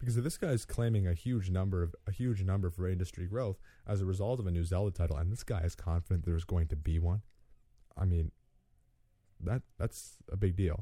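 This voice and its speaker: A man with a very deep, low pitch talks at a fairly quick pace, his tone dark and mellow and somewhat breathy. Loudness stays very even, pitch varies in an ordinary way, and the very clean recording has a silent background. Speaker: gaming podcast host. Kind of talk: solo podcast monologue. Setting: home studio. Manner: fast; halting.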